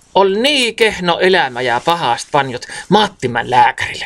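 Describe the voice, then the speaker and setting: A man's high-pitched voice in a Karelian Isthmus accent at a fairly slow pace. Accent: Karelian dialect of the Karelian Isthmus. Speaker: storyteller. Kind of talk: dialect storytelling. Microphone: phone near.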